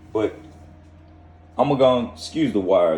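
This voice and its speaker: With an American accent, a man speaks at a fairly quick pace in a dark, mellow, somewhat breathy tone. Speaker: off-grid solar hobbyist vlogger. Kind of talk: casual video vlog.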